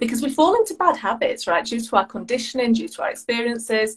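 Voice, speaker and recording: This woman has a British accent and a fairly high pitch. She talks at a fairly quick pace with lively intonation. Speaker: life and business coach, podcaster. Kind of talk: casual interview chat. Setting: video call, evening.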